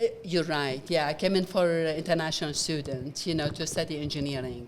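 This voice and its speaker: Over noticeable background noise, a woman talks at a fairly quick pace with a very deep, low pitch and ordinary pitch variation. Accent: Iraqi. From Iraq, Baghdad. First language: Arabic. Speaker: nonprofit founder, former engineer. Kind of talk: interview. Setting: event venue, gala. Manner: halting.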